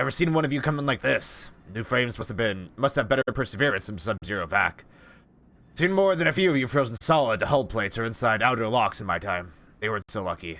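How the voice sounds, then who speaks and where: Putting on a gruff character voice, a man talks at a very fast pace. His medium pitch takes very wide swings. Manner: gruff, world-weary.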